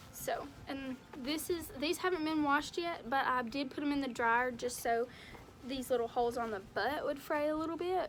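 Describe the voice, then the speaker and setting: With music in the background, a high-pitched woman talks at a moderate pace and ordinary pitch variation. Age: young. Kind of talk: casual DIY tutorial talk to camera.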